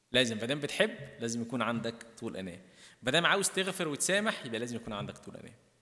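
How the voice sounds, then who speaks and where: In a quiet background, a man with an Egyptian accent talks at a very fast pace and medium pitch. His tone is bright and sharp, with lively intonation and big swings in loudness. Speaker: priest. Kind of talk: sermon. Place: church. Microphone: podium.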